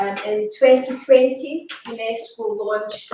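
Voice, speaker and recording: Music plays in the background as a woman speaks with a strong Scottish accent. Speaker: education academic. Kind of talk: conference talk. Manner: slow and clear.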